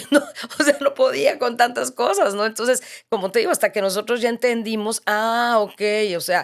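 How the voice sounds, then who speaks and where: Her pitch high and its variation ordinary, a woman talks at a moderate pace. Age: 60s. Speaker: author sharing faith testimony. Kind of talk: interview testimony.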